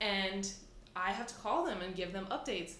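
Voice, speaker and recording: Noise is clearly present in the background. A woman speaks over it at a moderate speed. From small town. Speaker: fitness business owner. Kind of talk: casual chat.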